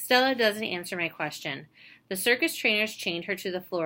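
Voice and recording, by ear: The text is read aloud in a natural voice.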